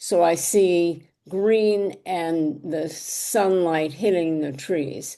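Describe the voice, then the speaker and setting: At a very slow pace, a woman speaks with a fairly low pitch and a dark, mellow tone. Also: fairly even intonation, hardly any pauses. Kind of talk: interview conversation.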